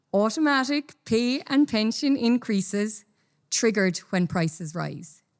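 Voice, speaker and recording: Pitched fairly high, a woman with an Irish accent swings very widely in pitch in a very clean recording with a silent background. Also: fairly slow pace. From Ireland. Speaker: company executive, conference speaker. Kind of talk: conference talk. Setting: stage with audience.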